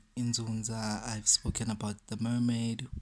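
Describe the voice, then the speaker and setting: A fairly slow pace with a South African accent. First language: isiZulu. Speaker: spiritual teacher. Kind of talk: talk to camera. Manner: code-switching between English and isiZulu.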